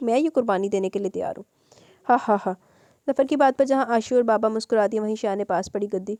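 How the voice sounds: The pitch varies in an ordinary way across a natural reading voice.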